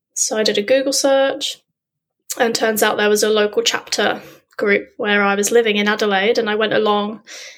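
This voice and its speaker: A woman speaks at a fairly quick pace with a southern English accent, her fairly high pitch held in a fairly even intonation. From southern England, Dorset. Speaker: underwater photographer and freediver. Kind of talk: interview.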